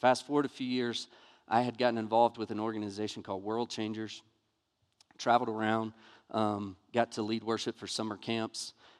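A man with a Southern US accent speaks fairly quickly at a medium pitch in a flat monotone. The sound is dry and close with no echo, on a very clean recording with a silent background. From US South, Montgomery, Alabama. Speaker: pastor. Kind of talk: sermon. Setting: church.

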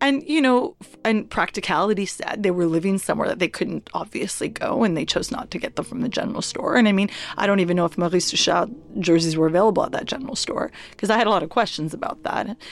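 Over noticeable background noise, a woman talks at a very fast pace with a medium pitch and lively intonation. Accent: Canadian. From Halifax, Nova Scotia, Canada. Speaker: journalist and activist. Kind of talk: interview. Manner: animated.

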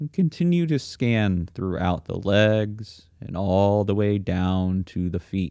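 In a gentle, calm tone, a man with a fairly low, dark and mellow voice speaks at a very slow pace with hardly any pauses and lively intonation. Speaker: meditation teacher. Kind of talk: guided meditation. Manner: slow, calm, soothing; gentle, unhurried, with long silent pauses.

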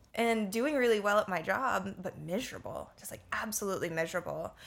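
Speaking with an American accent at a moderate pace, a woman uses a normal speaking voice with ordinary pitch variation. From Florida, US (Orlando). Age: 20s. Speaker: yoga and meditation teacher. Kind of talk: casual chat.

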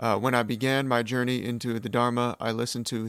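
At a moderate pace, a man with a Californian accent speaks at medium pitch in a monotone, flat intonation. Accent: General American (Californian). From California, US. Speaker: podcast host. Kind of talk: solo podcast monologue. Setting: alone in a room. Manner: slightly awkward, with pauses and ums.

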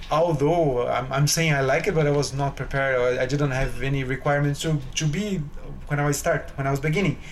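A man with a Portuguese accent talks at a fairly quick pace in a fairly high voice with fairly even intonation, amid audible room echo and noticeable background noise. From Brazil, São Paulo state. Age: young. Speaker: concert pianist. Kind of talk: interview. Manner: halting.

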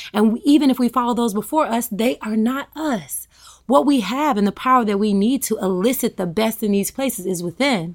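An ordinary speaking voice from a woman with an American accent, fairly high in pitch and fairly quick, with lively intonation on a very clean recording with a silent background. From US South, rural Tennessee. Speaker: yoga and wellness expert. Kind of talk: interview. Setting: at home.

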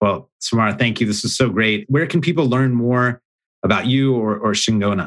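A normal speaking voice at a moderate pace, with ordinary pitch variation and very even loudness. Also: man, medium pitch for a man. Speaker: podcast host. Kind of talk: interview.

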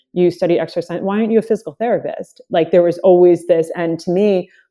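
A woman talks very fast at a medium pitch with ordinary pitch variation. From Dominican Republic. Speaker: runner and coach. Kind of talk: casual interview conversation.

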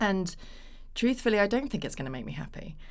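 Talking fairly quickly, a woman speaks in a British accent. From England. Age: 30s. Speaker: actress. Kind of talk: casual chat.

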